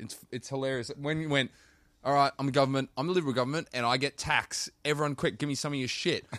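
A man with an Australian accent, fairly high pitch, very fast pace and fairly even intonation. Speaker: podcast co-host. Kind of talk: casual podcast chat.

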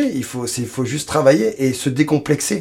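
This man speaks at a fairly slow pace and a medium pitch. His voice is somewhat breathy, with ordinary pitch variation. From France, Paris region (Suresnes). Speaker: blues singer-guitarist. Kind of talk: interview. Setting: recording studio.

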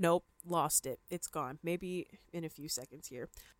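The speaker talks with a Canadian accent. The recording is very clean, with a silent background. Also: woman, dry, close sound with no echo. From Canada, Ontario (London). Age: 20s. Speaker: podcast host. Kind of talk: casual monologue. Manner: upbeat.

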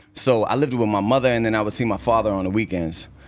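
A man with a Boston accent talks at a fairly quick pace, his pitch fairly low. His pitch variation is ordinary, and the recording is very clean with a silent background. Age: 30s. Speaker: rapper. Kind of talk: casual interview. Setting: studio. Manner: animated.

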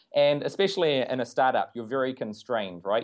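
Speaking with fairly even intonation, a man moves at a fairly quick pace. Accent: New Zealand. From New Zealand. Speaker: agile coach. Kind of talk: interview.

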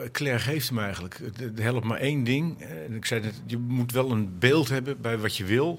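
With audible room echo behind him, a man talks at a moderate pace in a medium pitch with ordinary pitch variation. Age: middle-aged. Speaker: organisation consultant, former cycling commentator. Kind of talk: panel discussion. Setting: live event at a festival. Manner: halting.

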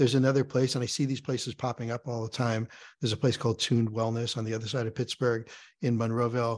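With an American accent, a man talks very fast at a medium pitch. His intonation is monotone and flat against a quiet background. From New York. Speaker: jazz saxophonist and sound healer. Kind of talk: casual interview.

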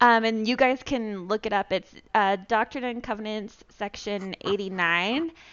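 Talking at a fairly slow pace, a woman with an unremarkable speaking voice sits fairly high in pitch with ordinary pitch variation. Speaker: podcast co-host. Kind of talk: casual chat.

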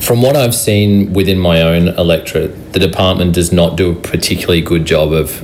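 A man with an Australian accent talks at a fairly quick pace in a very deep, low pitch, with noticeable background noise and audible room echo. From Brisbane, Australia. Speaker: city councillor. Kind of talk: radio interview.

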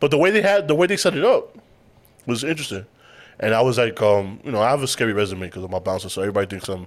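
Speech comes at a very fast pace with lively intonation, captured in a very clean recording against a silent background. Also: man. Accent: New York. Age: 30s. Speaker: podcast host. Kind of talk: casual chat.

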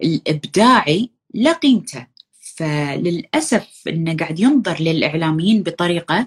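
Somewhat breathy and fairly low, a woman's voice moves through very wide pitch swings. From Kuwait. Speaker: content creator. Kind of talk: casual chat. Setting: live stream.

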